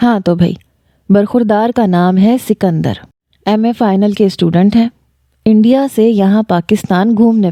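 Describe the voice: Someone gives a plain reading aloud while the background stays quiet.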